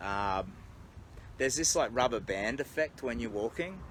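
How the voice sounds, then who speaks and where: With an Australian accent, a man delivers the lines. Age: 50s. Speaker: charity walker and vlogger. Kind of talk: casual livestream monologue. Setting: outdoors. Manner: halting, with many fillers.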